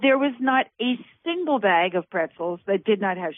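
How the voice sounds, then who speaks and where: A woman speaks at a fairly slow pace with medium pitch and lively intonation. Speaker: radio host. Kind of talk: interview, host introducing guest. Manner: warm, enthusiastic.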